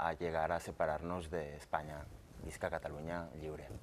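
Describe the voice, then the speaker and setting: This man has a very deep, low pitch. He talks at a fairly slow pace with fairly even intonation. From Catalonia. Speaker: independence activist; guest. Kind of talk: TV panel debate. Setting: TV studio. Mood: earnest, argumentative. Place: studio. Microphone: lapel.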